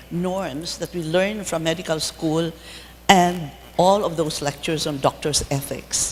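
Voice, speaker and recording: With noticeable noise in the background, the words come out fairly slowly. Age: 80s+. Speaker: dermatologist. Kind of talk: lecture.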